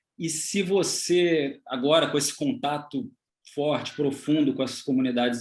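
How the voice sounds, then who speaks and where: A man with a normal speaking voice, fairly high pitch and a fairly slow pace. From Brazil. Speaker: photographer interviewer. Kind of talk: interview conversation. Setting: video call.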